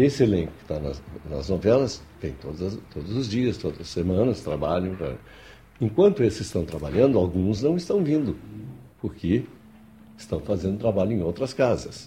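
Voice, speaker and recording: This man's fairly low, dark, mellow voice is somewhat breathy, with very wide pitch swings and big swings in loudness. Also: moderate pace. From Rio Grande do Sul, Brazil. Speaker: voice actor and dubbing director. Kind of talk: interview. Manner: halting, many repetitions.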